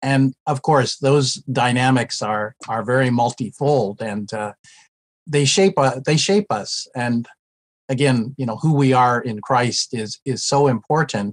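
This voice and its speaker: In an American accent and a plain, everyday voice, a man speaks at a fairly slow pace in a medium pitch with ordinary pitch variation, the sound dry and close with no echo against a quiet background. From United States. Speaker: retired ministry professor and former pastor. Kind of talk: interview.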